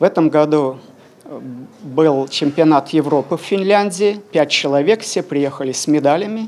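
Fairly high male voice with ordinary pitch variation over light background noise. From Belarus. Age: 60s. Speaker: veteran weightlifter. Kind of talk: interview. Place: hall. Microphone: handheld.

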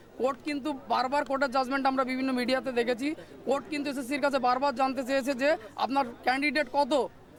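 Against crowd noise in the background, a man speaks in a flat monotone at an extremely high pitch for a man. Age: 40s. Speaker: school teacher who lost job, protester. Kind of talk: street interview.

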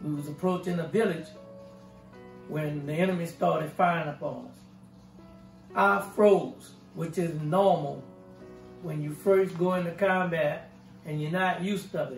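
A man with a New Orleans accent talks at a moderate pace in a high voice with ordinary pitch variation, big swings in loudness and long, frequent pauses, with audible room echo and faint music behind him. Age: 70s. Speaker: war veteran. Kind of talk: oral history interview answer. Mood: calm, reflective. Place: home room.

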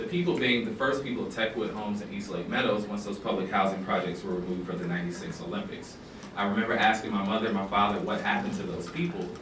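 With an American accent, a man talks very fast at a fairly low pitch and ordinary pitch variation, amid noticeable background noise and audible room echo. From US South. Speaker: documentary filmmaker. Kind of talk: public talk. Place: classroom. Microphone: camera far.

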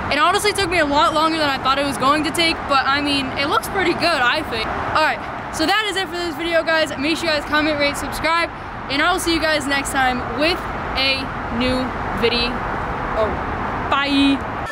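Loud background noise surrounds a woman's voice. Her pitch varies in an ordinary way, and the sound is dry with no echo. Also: fairly quick pace. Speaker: video creator. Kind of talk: casual vlog chat. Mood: cheerful. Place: street. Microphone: phone near.

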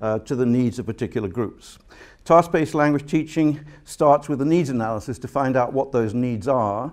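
Ordinary pitch variation from a man at a moderate pace, in a quiet background. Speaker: guest lecturer. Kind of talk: lecture. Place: hall. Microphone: podium.

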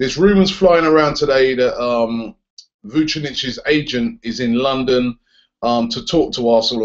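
Quiet surroundings and a man's moderate pace. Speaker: presenter. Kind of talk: commentary. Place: home room. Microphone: webcam.

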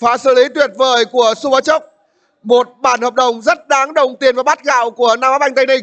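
At extremely high pitch, a man speaks in an animated tone at a moderate pace with very even loudness and dry, close sound with no echo. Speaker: football commentator. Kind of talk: live football commentary. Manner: animated, rising in emotion at goals and near misses.

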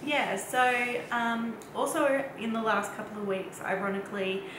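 This woman talks at a very slow pace while noticeable background noise and audible room echo surround her. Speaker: vlogger. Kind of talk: casual vlog chat. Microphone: camera far.

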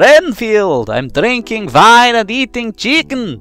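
A man's put-on character voice, high-pitched and fairly slow, with faint music in the background. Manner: bad impression.

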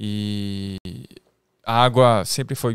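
A man with a French accent is heard in a dry, close recording with no echo. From France. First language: French (speaking Portuguese). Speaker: comedian and content creator. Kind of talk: casual chat.

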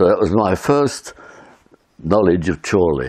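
There is vocal fry in this man's voice. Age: 90s. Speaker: war veteran recounting memories. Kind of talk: oral history recollection, monologue. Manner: halting, with repetitions and fillers.

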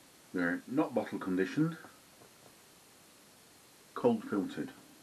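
A man's voice over light background noise. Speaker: beer reviewer. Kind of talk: casual vlog chat. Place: home room. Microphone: phone near.

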